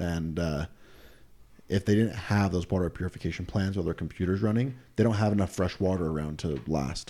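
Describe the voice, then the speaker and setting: A man speaks at a fairly quick pace with an American accent, his pitch very deep and low. His tone is dark and mellow, with ordinary pitch variation. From Utah. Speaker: podcast co-host. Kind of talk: casual chat.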